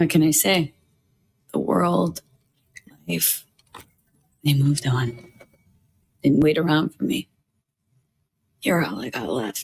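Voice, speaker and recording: A raspy put-on character voice sits at a low-to-middle pitch. It moves at a fairly slow pace with long, frequent pauses. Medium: video game. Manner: terse, guarded.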